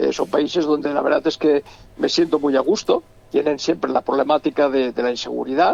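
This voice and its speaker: A man with a Catalan accent speaks at a fairly quick pace. The sound is dry and close with no echo, though background noise is noticeable. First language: Catalan (speaking Spanish). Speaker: novelist. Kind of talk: interview. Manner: halting, many repetitions and stammers.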